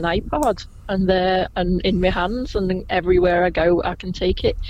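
A woman with a Liverpool accent, medium in pitch, with hardly any pauses. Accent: Liverpool (Scouse), fairly gentle. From Liverpool, England. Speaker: Beatles tour guide. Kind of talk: casual interview chat.

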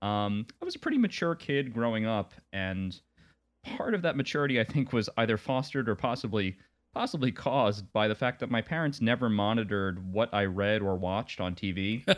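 A man with an American accent speaks in an ordinary speaking voice at a medium pitch and a fairly quick pace, with ordinary pitch variation over a quiet background. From Long Island, New York. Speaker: podcast co-host. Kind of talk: casual chat.

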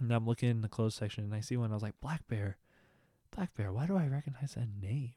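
A man's somewhat breathy, dark, mellow voice at medium pitch, with a dry, close sound and no echo. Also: very clean recording, silent background. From Texas. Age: young. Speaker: podcast host and music reviewer. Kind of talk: casual monologue. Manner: rambling, filler-heavy.

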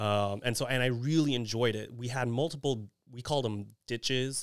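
In an American accent, a man talks at a moderate pace in an ordinary speaking voice with fairly even intonation, on a very clean recording with a silent background. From Texas, Houston area (Kingwood). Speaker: criminology professor. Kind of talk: casual chat.

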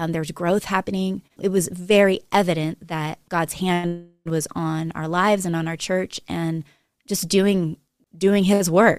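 Speaking fairly slowly with an American accent, a woman keeps a monotone, flat intonation in a fairly low voice. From California, Monterey. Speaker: pastor and author. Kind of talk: interview conversation.

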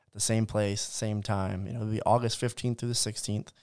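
The man's dark, mellow tone comes at a fairly low pitch with fairly even intonation, on a very clean recording with a silent background. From US South, Georgia. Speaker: podcast co-host, marketing director. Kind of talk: casual chat.

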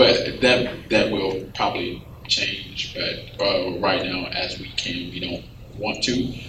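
Delivered at a very slow pace, the voice swings widely in loudness over noticeable background noise. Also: man. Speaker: pastor. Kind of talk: panel discussion. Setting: stage with audience.

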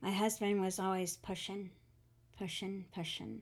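A woman's medium-pitched voice with a Southern accent. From US South, Atlanta, Georgia. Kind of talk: testimony.

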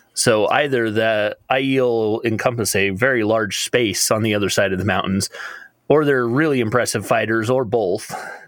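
A man speaks in a normal speaking voice at medium pitch. His pace is moderate, his intonation fairly even and his loudness very even. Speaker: panel member. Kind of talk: casual panel discussion.

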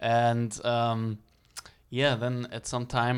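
Here a man speaks with a German accent at a medium pitch. His pace is very slow. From Germany.

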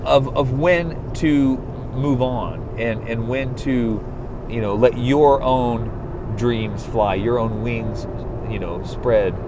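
Very slow, medium-pitched speech from a man amid noticeable background noise. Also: ordinary pitch variation. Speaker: solo podcaster, small business owner. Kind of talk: off-the-cuff monologue. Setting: recorded in a car, outdoors or in a studio with background music. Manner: rambling, talks in circles.

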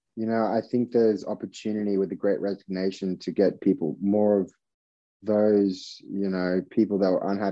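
In an Australian accent, a man talks at a fairly quick pace with a fairly low pitch and monotone, flat intonation. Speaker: tech startup founder. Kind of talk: interview conversation. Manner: casual, filler-heavy.

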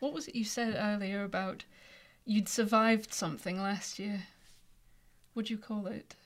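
A woman with an English accent speaks at a moderate pace and medium pitch, with ordinary pitch variation and long, frequent pauses. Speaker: author. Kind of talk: casual chat. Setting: studio.

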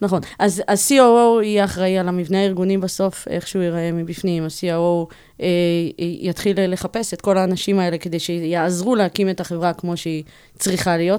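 The recording is very clean, and the background is silent. A woman talks with fairly even intonation in a dark, mellow tone. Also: medium pitch for a woman, moderate pace. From Israel, Bat Yam. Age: 40s. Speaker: tech operations executive. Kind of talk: interview. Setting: studio.

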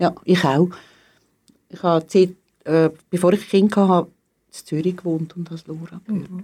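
Speaking at a moderate pace, a woman with a fairly low pitch and a dark, mellow tone keeps a flat, monotone delivery, her loudness swinging widely and her speech broken by long, frequent pauses. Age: 60s. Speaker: teacher. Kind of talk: interview.

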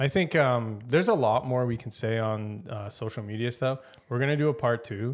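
Speaking with a Canadian accent, a man uses an ordinary speaking voice at a medium pitch with ordinary pitch variation. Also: moderate pace. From Canada. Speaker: podcast co-host. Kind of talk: casual chat.

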